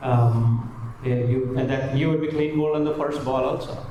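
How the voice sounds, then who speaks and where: A man with a Marathi accent is heard with noticeable background noise and audible room echo. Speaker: spiritual speaker on the Gita. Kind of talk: spiritual talk to live audience. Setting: hall with live audience. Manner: animated, hesitant fillers.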